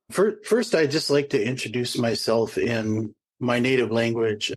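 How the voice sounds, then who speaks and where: This man's voice sits at a medium pitch as he talks at a moderate pace. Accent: Upper Midwest. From northeast Minnesota, Ojibwe reservation. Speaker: nature photographer. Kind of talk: panel discussion.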